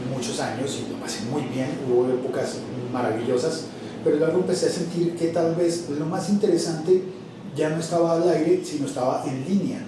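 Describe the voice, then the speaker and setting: A man speaks with a fairly high pitch. Noticeable noise runs in the background. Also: ordinary pitch variation, fairly quick pace. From Colombia. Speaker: radio announcer and voice-over artist; podcaster. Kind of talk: interview answer.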